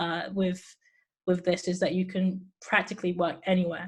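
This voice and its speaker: Heard in a very clean recording with a silent background, a woman of medium pitch sounds somewhat breathy. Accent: English. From England. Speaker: voice app developer. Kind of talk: interview conversation. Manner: hesitant, many fillers and repetitions.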